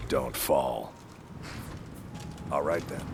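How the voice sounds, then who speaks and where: A man's put-on character voice, very deep and low in pitch, over clear background noise. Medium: machinima. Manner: salesman-like.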